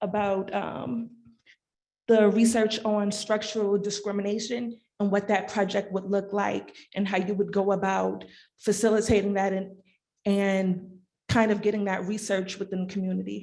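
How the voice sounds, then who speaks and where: A woman speaks softly at a medium pitch. Her intonation is monotone and flat. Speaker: clinical social worker, audience questioner. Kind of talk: audience question. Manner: soft-spoken; quiet, hard to hear.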